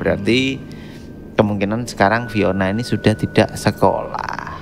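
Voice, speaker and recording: Over music in the background, a man speaks with fairly even intonation. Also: fairly low pitch for a man, moderate pace. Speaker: podcast host. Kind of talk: horror story reading on a podcast. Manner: casual, joking.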